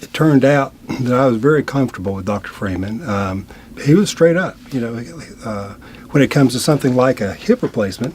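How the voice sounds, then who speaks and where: An unremarkable speaking voice from a man, medium in pitch, with lively intonation and big swings in loudness. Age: 60s. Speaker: attorney, patient. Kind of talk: interview testimony. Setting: studio.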